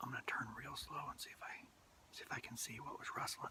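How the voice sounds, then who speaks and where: Whispering, a man talks at a fairly quick pace. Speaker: hunter vlogger. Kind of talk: casual outdoor vlog narration. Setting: outdoors in the woods. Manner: hesitant with fillers.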